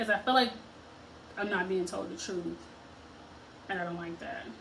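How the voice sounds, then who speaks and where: Moderate pace over noticeable background noise. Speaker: lifestyle vlogger. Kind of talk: casual vlog chat. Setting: at home getting ready for work.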